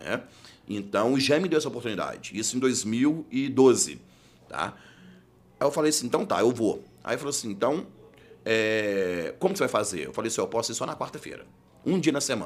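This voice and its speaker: The voice has vocal fry and a fairly quick pace, with long, frequent pauses. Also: man, medium pitch for a man, lively intonation. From Belo Horizonte, Minas Gerais, Brazil. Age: 30s. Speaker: criminal defense lawyer. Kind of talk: casual interview chat. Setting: studio.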